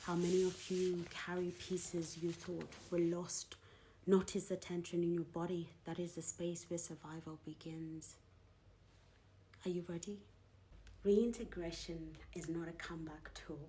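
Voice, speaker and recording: Somewhat breathy, with a dark, mellow tone, a woman speaks at a fairly low pitch and a fairly slow pace in monotone, flat intonation. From Zimbabwean-British. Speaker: poet and author. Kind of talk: spoken word poetry.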